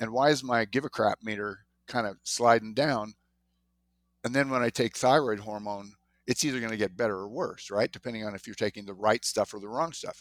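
A man with an ordinary speaking voice talks at a fairly quick pace and medium pitch, with ordinary pitch variation. His loudness swings a lot on a very clean recording with a silent background. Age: 60s. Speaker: physician. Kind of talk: casual interview.

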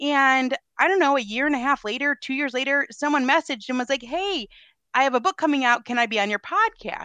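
A woman's raised, projected voice, high-pitched, bright and sharp, with lively intonation and a fairly quick pace, in a dry, close sound with no echo and a quiet background. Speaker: podcast guest, homeschooling parent. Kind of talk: casual chat. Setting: video call.

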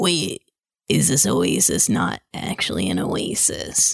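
In a put-on character voice, a woman speaks raspy and very deep, low. Her pace is fairly slow. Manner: relaxed, mild, a little hesitant.

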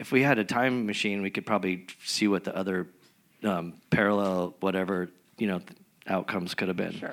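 A man with an American accent speaks in a plain, everyday voice, his fairly low pitch carried by fairly even intonation. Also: fairly quick pace. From San Diego, California. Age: 40s. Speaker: punk musician. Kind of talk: live interview. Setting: stage with audience.

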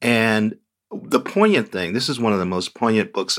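At a moderate pace comes a normal speaking voice. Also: man. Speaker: TV critic. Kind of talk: casual chat.

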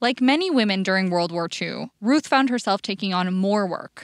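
A woman's plain, everyday voice at medium pitch, with lively intonation and a fairly quick pace, in a very clean recording with a silent background and a dry, close sound with no echo. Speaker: podcast host and journalist. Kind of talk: scripted narration.

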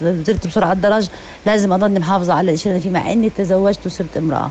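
Over noticeable background noise, a woman with a fairly low pitch races along at a very fast pace with fairly even intonation. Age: 50s. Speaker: mother sharing experience. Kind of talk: personal testimony. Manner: halting.

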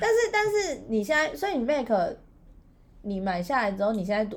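Audible room echo surrounds a woman who speaks with long, frequent pauses. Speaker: podcast co-host. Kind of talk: casual chat. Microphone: built-in laptop mic.

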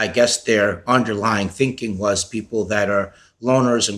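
A fairly low-pitched man's voice with an American accent and monotone, flat intonation, in a very clean recording with a silent background. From New York (Westchester County, Peekskill). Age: 40s. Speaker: exoneree, wrongful conviction advocate. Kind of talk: interview life story.

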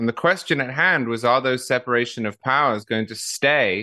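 A man speaks in a British accent with a bright, sharp tone at medium pitch. The background is quiet. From England. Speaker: political writer, podcaster. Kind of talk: interview.

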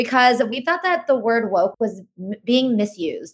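Fairly quick and fairly high-pitched, a woman uses an ordinary speaking voice with lively intonation. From Indian-American family. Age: 20s. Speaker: podcast co-host and content marketer. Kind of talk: casual interview chat.

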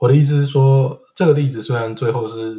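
Fairly even in intonation, a man talks at medium pitch and a fairly quick pace. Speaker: podcaster living in Sweden. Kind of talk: casual chat. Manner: halting, frequent word repetitions.

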